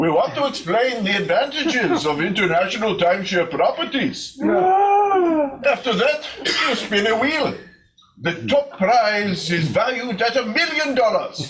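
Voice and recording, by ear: A man's put-on character voice, extremely high-pitched and fairly bright, with big pitch swings, a fairly slow pace and audible room echo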